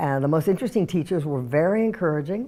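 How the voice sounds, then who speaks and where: A woman speaks with a very deep, low pitch and very wide pitch swings. Her tone is dark and mellow. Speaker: mature student and theater director. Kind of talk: personal testimony.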